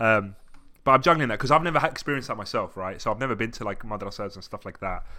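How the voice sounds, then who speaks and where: Speaking with a southern English accent, a man has a bright, sharp tone. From England (Essex, then Brighton). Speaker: podcast guest, graphic designer. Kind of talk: casual chat. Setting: video call.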